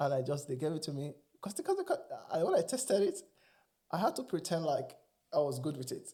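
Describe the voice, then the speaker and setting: A man with a Nigerian accent talks in an animated tone at a fairly quick pace. Long, frequent pauses break up his speech. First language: Igbo. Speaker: immigrant sharing experiences. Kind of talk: casual interview chat.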